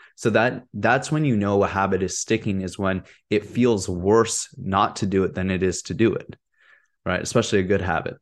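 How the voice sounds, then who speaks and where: Against a quiet background, a man with a plain, everyday voice talks at a moderate pace, his fairly low pitch showing ordinary variation. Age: 30s. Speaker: wellness podcast host. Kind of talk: solo podcast monologue. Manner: casual, conversational with fillers.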